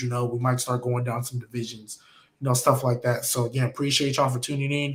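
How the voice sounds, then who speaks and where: A man's medium-pitched, somewhat breathy voice in a monotone, flat intonation. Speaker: podcast host. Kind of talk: casual chat. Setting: live stream.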